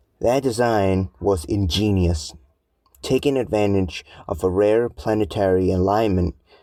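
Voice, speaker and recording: A man speaks at a moderate pace with a dark, mellow tone and a fairly low pitch. His pitch varies in an ordinary way, and the recording is very clean with a silent background. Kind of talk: essay narration.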